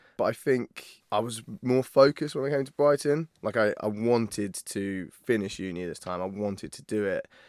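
In a very clean recording with a silent background, a man with a southern English accent speaks at a medium pitch and a moderate pace, with ordinary pitch variation, big swings in loudness and hardly any pauses. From Isle of Wight, southern England. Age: 30s. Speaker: university video content creator. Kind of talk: casual interview.

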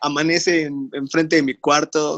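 A man with a Mexican accent and a fairly high pitch. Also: dry, close sound with no echo. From Mexico, Tlaxcala. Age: 20s. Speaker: industrial engineer and podcast co-host. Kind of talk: casual chat about faith.

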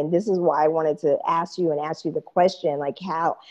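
The woman's voice is fairly low in pitch with a dark, mellow tone. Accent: American. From Kansas, US Midwest. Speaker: podcast host. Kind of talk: interview. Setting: video call.

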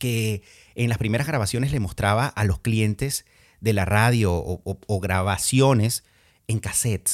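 In a very clean recording with a silent background and a dry, close sound with no echo, a plain, everyday voice moves at a fairly slow pace with ordinary pitch variation. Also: man. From Venezuela, Andean region (Valera, Trujillo). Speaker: podcast host, former radio presenter. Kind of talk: casual monologue.

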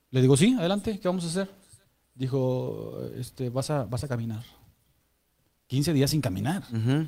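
A man speaks at a moderate pace with lively intonation and a dark, mellow tone. His voice is somewhat breathy, broken by long, frequent pauses. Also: medium pitch for a man. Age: 40s. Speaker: church member sharing testimony. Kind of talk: testimony. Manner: halting.

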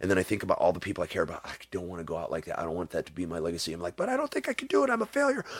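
Animated in tone, a man talks at a very fast pace with hardly any pauses. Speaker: musician and comedian. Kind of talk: casual chat.

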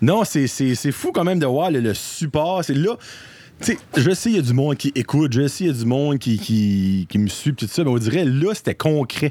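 The voice has a dark, mellow tone and very wide pitch swings. It moves at a moderate pace with very even loudness. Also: man, fairly high pitch for a man. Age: 30s. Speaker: podcast guest. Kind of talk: casual chat.

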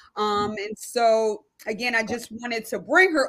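This is an ordinary speaking voice from a woman. Her pitch is fairly high and varies in an ordinary way. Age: 40s. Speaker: podcast host. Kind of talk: casual chat.

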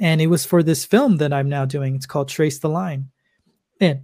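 A man speaks at a moderate pace with an American accent, his voice somewhat breathy and fairly high-pitched. The tone is dark and mellow, and his intonation stays fairly even. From US West Coast, Los Angeles. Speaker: filmmaker. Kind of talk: interview.

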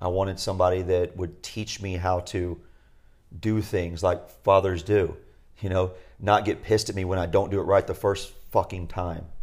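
Here a man speaks at a very deep, low pitch and a moderate pace, somewhat breathy, with monotone, flat intonation. The recording is very clean, with a silent background. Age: 40s. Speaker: podcast co-host, retreat facilitator. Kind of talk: casual chat.

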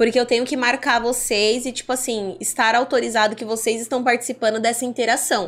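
A woman talks at a fairly quick pace with hardly any pauses. Her high voice holds a monotone, flat intonation. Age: 20s. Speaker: adult content creator. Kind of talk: interview.

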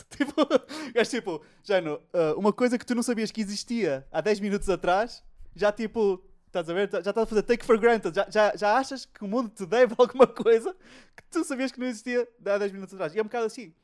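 A man with a high pitch talks at a fairly quick pace, his loudness swinging widely and his pitch varying in an ordinary way. The sound is dry and close with no echo, on a very clean recording with a silent background. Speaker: podcast host. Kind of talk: casual chat. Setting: home recording during lockdown.

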